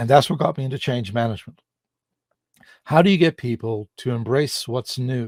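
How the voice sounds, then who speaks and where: The man's voice is somewhat breathy, recorded with a dry, close sound and no echo. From Ireland. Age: 60s. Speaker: public speaker. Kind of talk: interview.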